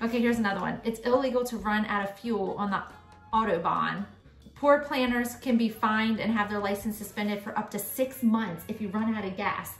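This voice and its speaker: A woman talking fairly quickly with fairly even intonation, audible room echo and faint music in the background. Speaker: parent vlogger. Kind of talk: casual vlog chat. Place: home room. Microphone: phone near.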